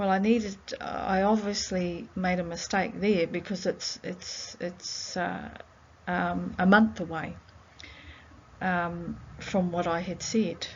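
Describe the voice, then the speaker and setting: A woman with a New Zealand accent speaks very slowly in a somewhat breathy voice. Her pitch is fairly low and her intonation fairly even. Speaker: researcher. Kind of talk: reflective audio diary. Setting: library. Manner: halting; soft-spoken.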